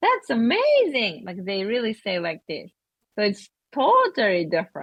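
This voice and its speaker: Speech moves at a moderate pace with lively intonation. There is a Japanese accent. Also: woman, fairly high pitch for a woman. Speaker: Japanese language school owner. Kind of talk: video call consultation discussion. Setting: video call. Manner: halting.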